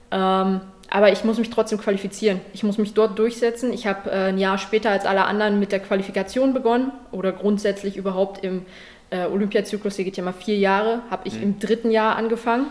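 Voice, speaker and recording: A woman speaks at a medium pitch and a very fast pace. Her intonation is monotone and flat. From Saxony, Germany (Leipzig). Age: 20s. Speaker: judo athlete. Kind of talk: interview.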